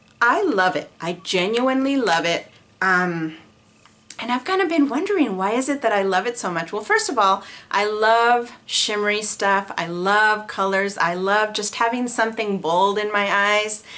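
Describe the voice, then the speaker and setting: A woman speaks at a moderate pace in a fairly high voice. Her tone is animated, bright and sharp, with ordinary pitch variation. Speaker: beauty vlogger. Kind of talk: casual monthly favorites review. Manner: hesitant with many fillers.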